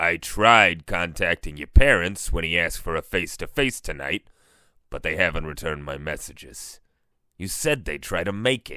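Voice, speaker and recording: A man puts on a character voice that is raspy and very deep in pitch. He delivers it at a moderate pace with lively intonation and big swings in loudness. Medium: audio drama. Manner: earnest, careful.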